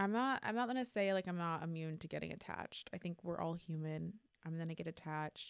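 A woman speaks at a very fast pace. Her pitch is fairly low, with ordinary pitch variation. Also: very clean recording, silent background. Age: 20s. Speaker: podcast host. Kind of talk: casual chat. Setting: studio. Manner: animated.

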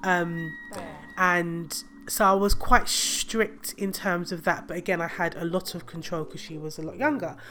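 Her loudness swings widely as this woman talks at a moderate pace with ordinary pitch variation and a fairly low pitch. Noticeable background noise runs under the recording. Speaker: podcast host. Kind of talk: casual monologue.

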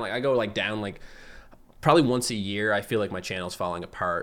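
A man speaks in a Newfoundland accent at a fairly low pitch. His pitch moves up and down in an ordinary way. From Newfoundland, Canada (Fogo Island). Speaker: gaming YouTuber. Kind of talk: casual chat. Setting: video call.

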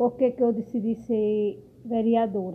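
With fairly even intonation, this woman's fairly high voice moves at a very slow pace. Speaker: local political candidate. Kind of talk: campaign self-introduction.

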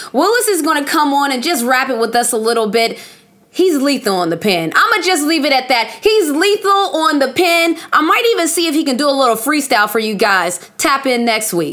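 Over noticeable background noise, a woman talks at a fairly quick pace in a high pitch, with very wide pitch swings and very even loudness. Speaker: podcast host. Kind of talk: casual chat.

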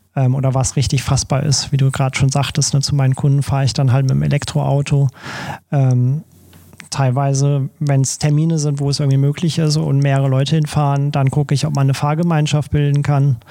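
A man's fairly high, monotone, flat voice at a fairly quick pace, very even in loudness, over noticeable background noise. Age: 30s. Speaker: photographer. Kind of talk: podcast interview.

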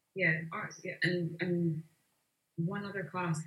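In a Glaswegian accent, a woman speaks very slowly with fairly even intonation. Her voice is somewhat breathy. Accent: Glaswegian Scottish. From Glasgow, Scotland. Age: 30s. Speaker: visual artist. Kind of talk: casual interview conversation.

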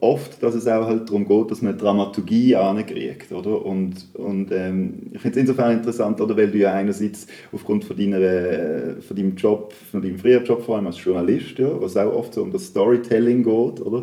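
A man with a fairly low voice talks at a fairly quick pace with hardly any pauses and ordinary pitch variation. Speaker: podcast host. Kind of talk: casual interview. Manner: halting, many fillers.

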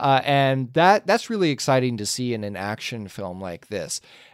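A man has a normal speaking voice with medium pitch and lively intonation, at a moderate pace. The sound is dry and close with no echo. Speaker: podcast host. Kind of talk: casual chat.

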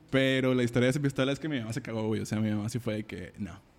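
Over noticeable background noise, a man at medium pitch speaks at a very fast pace. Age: 20s. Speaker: musician. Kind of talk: casual chat.

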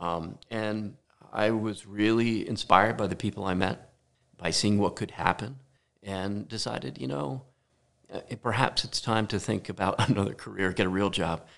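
Here is a normal speaking voice, moving at a moderate pace with ordinary pitch variation. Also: man, fairly low pitch for a man. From New Jersey. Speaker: architect. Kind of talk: casual chat. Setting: home garage studio.

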